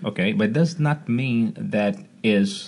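Somewhat breathy and dark, mellow in tone, this man with a Portuguese accent lets his pitch swing very widely. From Brazil, Rio de Janeiro. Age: 40s. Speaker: martial arts coach. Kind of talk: casual chat. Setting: studio.

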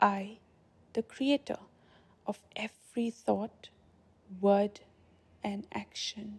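At a very slow pace with long, frequent pauses, a woman speaks in a calm, gentle, somewhat breathy tone, her medium pitch held in fairly even intonation. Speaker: meditation guide. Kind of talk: guided meditation. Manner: slow, soft, soothing; calm, gentle, measured.

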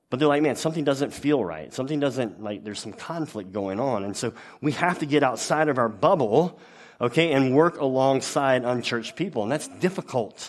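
Speaking with a Louisiana accent, a man talks at a fairly high pitch and a fairly quick pace with lively intonation, on a very clean recording with a silent background. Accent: Southern US (Louisiana). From US South, Louisiana. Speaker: pastor. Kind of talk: sermon.

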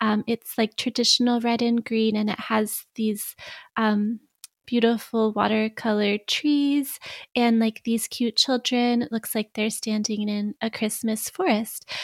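A woman talks at a fairly slow pace in a fairly high, monotone voice with flat intonation. The sound is dry and close with no echo, on a very clean recording with a silent background. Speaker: podcaster. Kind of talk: casual chat.

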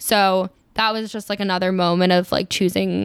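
This woman has a Mid-Atlantic accent. She talks at a moderate pace. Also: very clean recording, silent background. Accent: American, Mid-Atlantic. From Maryland, outside Washington DC. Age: 20s. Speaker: podcast guest. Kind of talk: casual chat.

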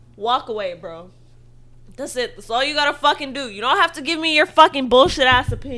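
A woman with a high pitch uses a raised, projected voice, an animated tone, a bright, sharp tone and lively intonation. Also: big swings in loudness. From Filipino family background. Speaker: podcast co-host. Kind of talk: casual chat.

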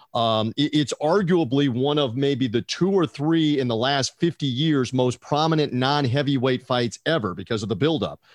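A man with an American accent and a fairly high pitch, at a moderate pace with hardly any pauses, very even loudness and ordinary pitch variation, in a dry, close recording with no echo. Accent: half Southern US. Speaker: boxing podcast host. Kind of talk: podcast hosting and interview.

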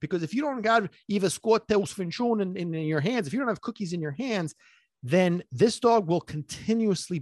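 A man's animated voice, dry and close with no echo, against a quiet background. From US, partly raised in Sicily. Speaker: dog trainer and podcast host. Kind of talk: casual monologue. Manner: fast.

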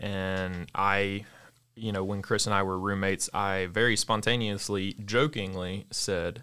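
A man with an American accent speaks at a fairly slow pace in a fairly low voice, a plain, everyday voice. The recording is very clean, with a silent background. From US South, Mississippi. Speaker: coffee shop co-owner. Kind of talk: interview.

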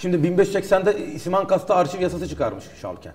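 Noticeable background noise is present. Over it, a man talks at a fairly quick pace. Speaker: historian. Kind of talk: interview. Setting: studio.

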